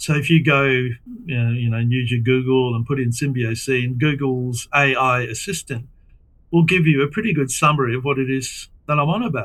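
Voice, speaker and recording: Here a man speaks in an Australian accent. His pitch is medium with ordinary variation, and his pace is moderate. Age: 70s. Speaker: environmental philosopher. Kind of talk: interview. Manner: halting.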